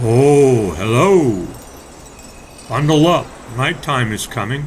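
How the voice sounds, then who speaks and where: A man does a put-on character voice at medium pitch with lively intonation. He goes at a very slow pace over clear background noise. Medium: read story.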